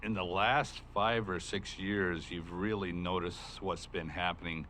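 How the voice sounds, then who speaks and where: With an American accent, a man with a very deep, low pitch and a bright, sharp tone speaks at a moderate pace with fairly even intonation, and room echo can be heard. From southern Oregon coast, US. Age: 60s. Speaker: county sheriff. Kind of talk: public meeting testimony. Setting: county board meeting room. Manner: casual, many fillers.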